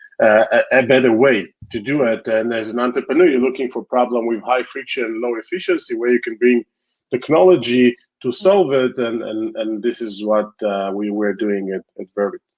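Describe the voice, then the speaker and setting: A man speaks with an Israeli accent at a moderate pace. His pitch is medium. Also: ordinary pitch variation. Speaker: tech company founder and CEO. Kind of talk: interview.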